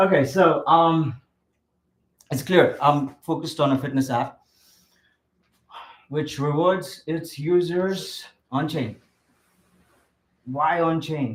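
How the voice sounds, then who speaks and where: This man talks very slowly, with long, frequent pauses. His pitch is fairly high and his intonation fairly even. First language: not English. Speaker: app developer pitching project. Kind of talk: project pitch. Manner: halting, many fillers.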